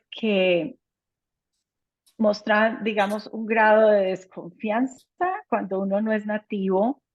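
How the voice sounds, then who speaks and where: The speaker is a woman with a fairly high pitch. She talks with a Spanish accent. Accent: Spanish accent when speaking English. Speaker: anesthesiologist. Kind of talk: conversational talk.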